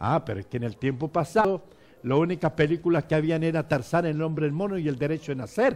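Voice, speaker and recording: This man talks at a very fast pace. His pitch is fairly high, with ordinary variation. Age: 70s. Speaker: bishop. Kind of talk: interview. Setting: church. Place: studio. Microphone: headset.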